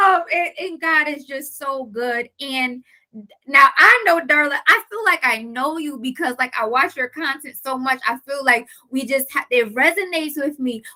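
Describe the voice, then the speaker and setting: Her voice raised and projected, a woman speaks in a high, animated tone at a moderate pace with ordinary pitch variation. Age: 30s. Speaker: life coach and interview host. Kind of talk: interview.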